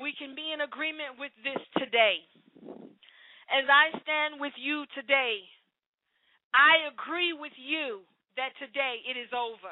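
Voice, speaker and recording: Pitched high, a woman speaks at a fairly slow pace with fairly even intonation, big swings in loudness, and long, frequent pauses. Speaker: preacher. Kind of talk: sermon with prayer; fervent prayer. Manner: fervent, impassioned, pleading; exhorting, rhythmic, repetitive.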